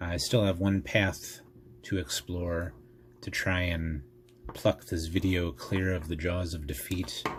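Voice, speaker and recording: Soft-spoken and somewhat breathy, a man with a very deep, low pitch talks at a very slow pace with fairly even intonation. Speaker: tech YouTuber. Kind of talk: tutorial. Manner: calm.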